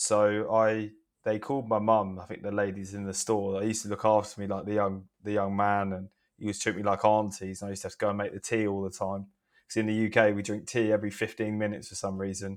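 A man at a fairly low pitch, with a southeast English accent, very fast pace and monotone, flat intonation. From southeast England. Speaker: wellbeing entrepreneur and speaker. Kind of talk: casual interview chat.

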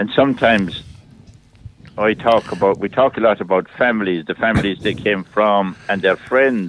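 Using an Irish accent, a man speaks at a fairly low pitch and a moderate pace. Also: fairly even intonation. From Ireland, County Clare. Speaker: priest. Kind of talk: casual chat. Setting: phone call.

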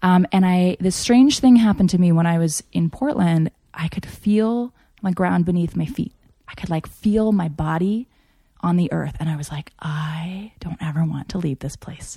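With an American accent, a woman speaks at a moderate pace and fairly low pitch with ordinary pitch variation. Her tone is dark, mellow and somewhat breathy, the sound dry and close with no echo. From Japan (Tokyo), American missionary family. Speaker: interview guest. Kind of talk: casual chat.

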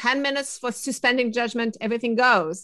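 A woman speaks with a French accent at a moderate pace. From France. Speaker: innovation consultant. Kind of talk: interview.

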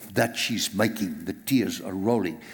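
With a South African accent, a man is talking. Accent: South African, Afrikaans-accented English. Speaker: pastor. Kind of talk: sermon. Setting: church.

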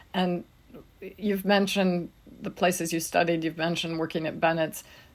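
With vocal fry, a woman talks at a fairly low pitch. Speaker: podcast co-host and editor. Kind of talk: scripted intro and interview questions.

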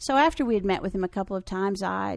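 In a quiet background, a woman with an unremarkable speaking voice talks fairly quickly at medium pitch. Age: 60s. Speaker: spiritual personality teacher. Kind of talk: interview. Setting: at her home.

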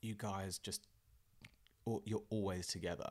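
Recorded very cleanly against a silent background, a man with an English accent speaks at a moderate pace. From southern England, Fareham. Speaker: entrepreneur, former punk musician. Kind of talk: interview, casual chat. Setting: in person, studio.

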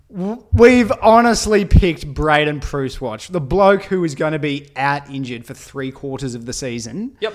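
Talking with an Australian accent at a moderate pace and with hardly any pauses, a man with a fairly high pitch makes very wide pitch swings and big swings in loudness. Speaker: podcast co-host, football fan. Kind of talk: casual chat, banter. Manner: animated, loud.

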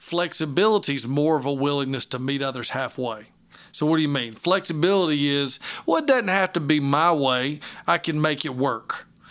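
This man has a plain, everyday voice at a fairly high pitch. The recording is very clean, with a silent background. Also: ordinary pitch variation, moderate pace. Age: 40s. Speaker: pastor. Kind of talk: casual interview about leadership.

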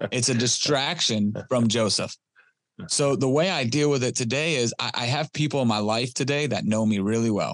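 With a Detroit accent, a man speaks at a moderate pace and very even loudness over a quiet background. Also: medium pitch for a man, ordinary pitch variation. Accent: US Midwest (Detroit). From Detroit, Michigan. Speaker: recovering addict sharing his story. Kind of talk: interview testimony.

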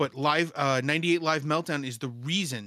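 A man's bright, sharp tone with ordinary pitch variation, in a very clean recording over a silent background. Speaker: podcast co-host. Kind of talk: casual chat. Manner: joking, self-deprecating.

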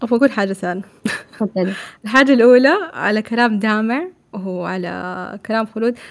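Her voice fairly high in pitch, a woman speaks at a moderate pace with lively intonation. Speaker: podcast host. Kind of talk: casual chat. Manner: soft-spoken.

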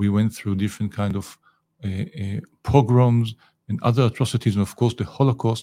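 A man with an Israeli accent, medium in pitch, dark and mellow in tone, with ordinary pitch variation at a moderate pace, dry and close with no echo in a very clean recording with a silent background. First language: Hebrew. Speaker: ambassador, diplomat. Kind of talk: interview. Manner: animated.

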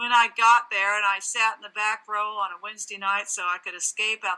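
With noticeable background noise, the voice runs at a fairly quick pace in a monotone, flat intonation. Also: woman. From California, Santa Barbara. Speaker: ministry leader, former radio reporter. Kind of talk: interview testimony.

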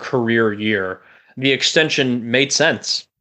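A man with a plain, everyday voice speaks at a medium pitch in an American accent, his pitch varying in an ordinary way. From Chicagoland, US Midwest. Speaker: podcast co-host, sports fan. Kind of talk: casual interview.

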